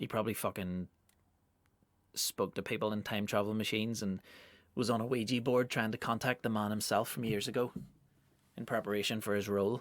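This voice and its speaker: Monotone, flat intonation in a Northern Irish accent, a fairly quick pace broken by long, frequent pauses, on a very clean recording with a silent background. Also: man, fairly low pitch for a man. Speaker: comedian. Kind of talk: casual monologue podcast. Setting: home studio.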